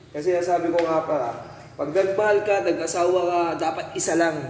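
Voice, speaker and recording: A high-pitched male voice with audible room echo and light background noise. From Philippines. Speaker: overseas worker. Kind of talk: casual vlog chat. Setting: dormitory. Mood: relaxed, joking. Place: home room. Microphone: phone near.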